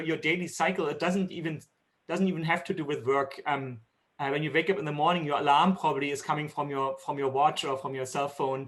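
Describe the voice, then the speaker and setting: Talking at a very fast pace, a man with a German accent uses a fairly high pitch and ordinary pitch variation. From Germany. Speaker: tech company executive. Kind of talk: keynote interview. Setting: video call. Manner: hesitant, many fillers.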